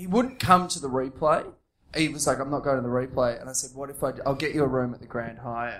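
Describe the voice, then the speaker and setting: Speaking at a very fast pace, a man with an Australian accent has a fairly high pitch and ordinary pitch variation. His loudness swings widely. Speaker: comedian. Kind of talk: casual chat. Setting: stage with audience.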